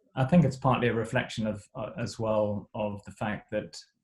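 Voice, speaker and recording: A man's medium-pitched, somewhat breathy voice with ordinary pitch variation at a fairly slow pace. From Zimbabwe. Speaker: missionary. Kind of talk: interview. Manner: halting.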